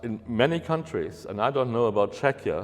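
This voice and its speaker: A man speaks at a medium pitch with a German accent. His pitch varies in an ordinary way. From Germany. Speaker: university researcher. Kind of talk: lecture.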